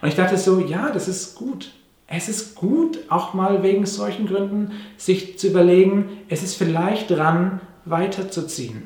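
Against noticeable background noise and audible room echo, a man speaks fairly slowly in a high-pitched voice with ordinary pitch variation. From Papua New Guinea (Manus), then Germany from age nine. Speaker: pastor. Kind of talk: sermon. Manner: conversational with fillers.

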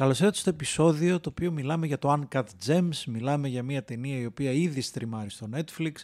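Speaking at a moderate pace with hardly any pauses, a man with a fairly high pitch uses ordinary pitch variation. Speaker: podcast host. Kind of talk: casual chat. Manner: animated.

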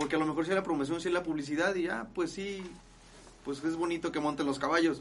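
A man talks at a very fast pace in a fairly high voice. His intonation stays fairly even. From Guadalajara, Jalisco, Mexico. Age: 20s. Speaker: charro rider. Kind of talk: casual interview. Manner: halting.

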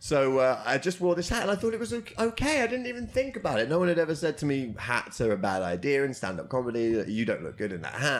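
A man with a British accent, fairly high-pitched, talking very fast with very wide pitch swings and hardly any pauses. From Britain. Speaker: comedian and comedy promoter. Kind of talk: casual interview chat. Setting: karaoke box.

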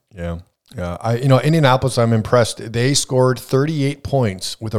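Talking at a fairly quick pace, a man with an American accent shows ordinary pitch variation. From Wisconsin (Superior). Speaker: sports betting podcast host. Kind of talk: casual chat. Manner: hesitant, many filler uhs.

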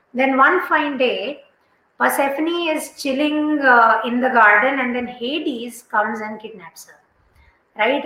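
A woman's raised, projected voice, high in pitch, at a fairly slow pace with ordinary pitch variation. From India. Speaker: livestream host and writing coach. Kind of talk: solo livestream talk. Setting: live video stream.

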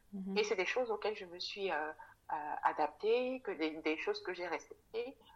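Using a medium pitch and ordinary pitch variation, a woman talks at a moderate pace with long, frequent pauses. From Cameroon, Douala. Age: 30s. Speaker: specialized educator and mother. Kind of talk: casual interview. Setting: remote recording. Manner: halting, many fillers.

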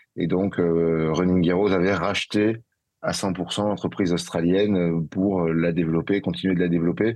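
At a moderate pace, a man speaks at a very deep, low pitch with fairly even intonation. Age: 30s. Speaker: entrepreneur. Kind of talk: interview. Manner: halting.

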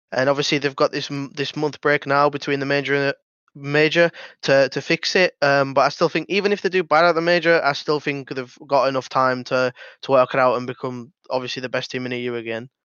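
Fairly high for a man, this voice carries a British accent and fairly even intonation at a fairly quick pace. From Britain. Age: 20s. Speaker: pro esports player. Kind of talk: casual chat.

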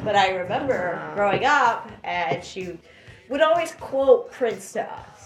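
An American accent comes through over noticeable background noise, with very wide pitch swings. The pace is fairly slow, and the loudness swings a lot. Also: woman, fairly high pitch for a woman. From Florida. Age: 30s. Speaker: podcast guest. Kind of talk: casual chat.

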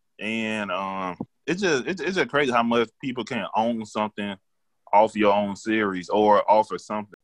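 A man talks in a normal speaking voice at a fairly low pitch, with ordinary pitch variation and a moderate pace. The sound is dry and close with no echo over a quiet background. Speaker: podcast co-host. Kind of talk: casual chat.

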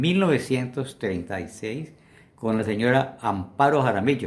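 A man is speaking. His intonation is lively. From Colombia, Valle del Cauca. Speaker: interviewee, elderly witness of Colombian history. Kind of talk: oral history interview. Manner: halting.

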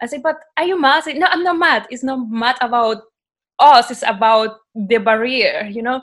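A woman speaks in a high voice at a moderate pace. Her pitch variation is ordinary. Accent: Spanish. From Colombia (Cartagena). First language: Spanish. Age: 20s. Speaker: podcast guest. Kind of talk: casual chat.

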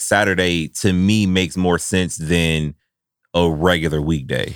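This man speaks in a very deep, low voice. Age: 30s. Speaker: podcast host. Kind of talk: casual chat. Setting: studio.

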